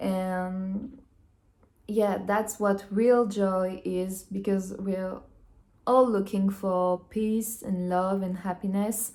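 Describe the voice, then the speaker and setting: Speaking very slowly at a medium pitch, a woman delivers her words in a monotone, flat way with a dark, mellow tone. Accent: French. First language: French. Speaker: minimalism vlogger. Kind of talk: casual monologue. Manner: halting.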